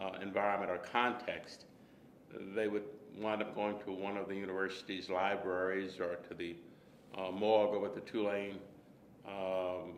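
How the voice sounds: A man speaks with an American accent at a moderate pace, his pitch low and moving little. Audible room echo surrounds him.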